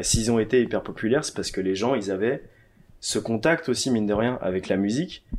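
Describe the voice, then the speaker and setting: On a very clean recording with a silent background, a man with a French accent talks at a very fast pace and a fairly low pitch. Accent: French from France. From France, Annecy. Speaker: DJ. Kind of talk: casual chat. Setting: living room.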